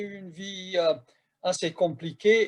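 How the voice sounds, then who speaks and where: The man's voice is high-pitched, with fairly even intonation and a Hungarian accent. He speaks very slowly. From Hungary, Budapest. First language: Hungarian (speaking French). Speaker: professor. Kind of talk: lecture.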